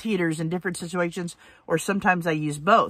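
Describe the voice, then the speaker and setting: A woman's voice has a bright, sharp tone and ordinary pitch variation. The sound is dry with no echo, over a quiet background. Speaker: van life vlogger. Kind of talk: casual vlog chat. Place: car. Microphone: phone near.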